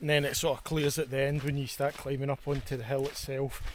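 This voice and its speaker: With a Scottish accent, this man speaks in a fairly high voice with fairly even intonation. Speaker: hiking and camping vlogger. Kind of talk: vlog narration while hiking. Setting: outdoors, hiking uphill. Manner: casual, chatty.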